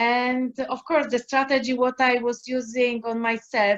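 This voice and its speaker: The speaker has a Polish accent and talks at a very slow pace in a monotone, flat intonation. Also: woman. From Poland. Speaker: life coach. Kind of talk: casual chat. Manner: halting.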